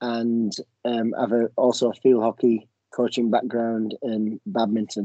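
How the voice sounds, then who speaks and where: Dry and close with no echo, a man with an English accent speaks fairly slowly in a dark, mellow, medium-pitched voice and a flat monotone. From England. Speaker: university professor and soccer coach. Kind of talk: online info session. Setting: video call.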